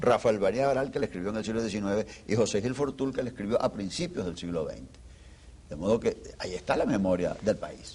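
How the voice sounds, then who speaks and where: A man with a plain, everyday voice speaks at a medium pitch with lively intonation. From Venezuela. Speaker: historian. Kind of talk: interview.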